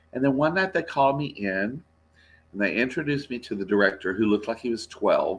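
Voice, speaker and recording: A man with a Texas accent, very fast and animated in tone. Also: very clean recording, silent background. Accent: Texas twang. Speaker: voice actor. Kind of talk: interview.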